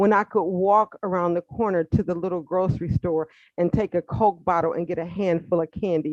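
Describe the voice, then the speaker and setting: An American accent in a dry, close sound with no echo. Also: woman. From Detroit, Michigan. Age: 60s. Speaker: caller. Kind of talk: call-in comment.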